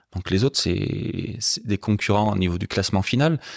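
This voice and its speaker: The recording is very clean, with a silent background and a dry, close sound without echo. A man speaks at medium pitch. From France, Haute-Loire. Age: 50s. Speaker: motorcycle guide and club president. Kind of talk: casual interview. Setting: at his home.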